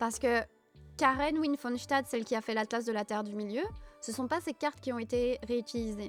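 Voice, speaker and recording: Soft-spoken and calm, a woman talks at a high pitch with ordinary pitch variation while music plays in the background. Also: moderate pace. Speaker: Tolkien fan streamer. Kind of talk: casual livestream talk to chat. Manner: soft, calm.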